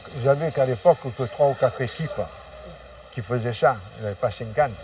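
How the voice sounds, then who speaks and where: A man's dark, mellow voice, somewhat breathy, with lively intonation. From Marseille, France. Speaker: former drug trafficker. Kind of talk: interview testimony. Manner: halting.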